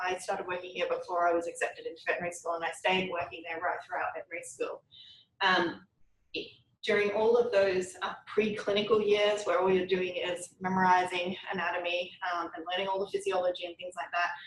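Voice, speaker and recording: Talking at a very fast pace, a woman with an Australian accent keeps a medium pitch and a monotone, flat intonation. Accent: Australian, noticeable. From Australia, Brisbane. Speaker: veterinary oncologist, university lecturer. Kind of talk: lecture. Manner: casual, with frequent ums.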